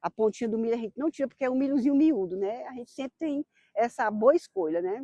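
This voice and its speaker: A woman speaks in a dark, mellow tone, recorded with a dry, close sound and no echo. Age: 60s. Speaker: farmer. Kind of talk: documentary interview. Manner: casual, frequent tag questions.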